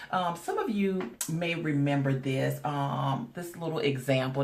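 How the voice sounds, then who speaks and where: A woman's very deep, low voice at a moderate pace, with audible room echo and noticeable background noise. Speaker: spiritual life coach. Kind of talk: casual vlog talk. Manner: hesitant, many fillers.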